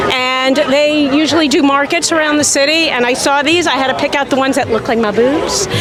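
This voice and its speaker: A high-pitched woman amid audible room echo and crowd noise in the background. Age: 60s. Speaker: teacher at a rally. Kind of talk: street interview.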